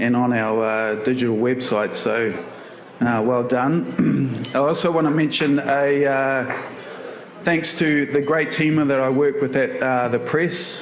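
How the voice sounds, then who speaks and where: Amid noticeable background noise and audible room echo, a man with a New Zealand accent speaks at a fairly slow pace and medium pitch, with ordinary pitch variation and very even loudness. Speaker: photographer, award winner. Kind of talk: acceptance speech. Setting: stage with audience. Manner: halting, many fillers.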